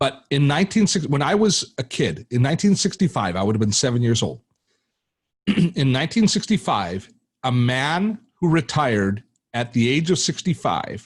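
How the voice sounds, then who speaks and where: At a moderate pace, a man talks at medium pitch, his voice somewhat breathy. His pitch swings very widely while his loudness stays very even. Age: 60s. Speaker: tech educator and YouTuber. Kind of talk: podcast interview. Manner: halting, many repetitions.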